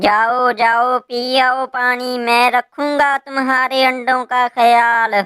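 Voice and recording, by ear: A female-sounding cartoonish character voice, high in pitch, speaks very slowly. Its intonation is flat and monotone.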